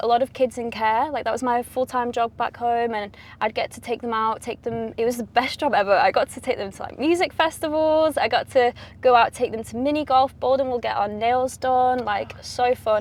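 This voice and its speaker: The speaker has a Mancunian accent and a moderate pace with hardly any pauses. The background is quiet. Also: woman, high pitch for a woman, ordinary pitch variation. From Manchester, England. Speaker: pop singer. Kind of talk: interview. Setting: in a car.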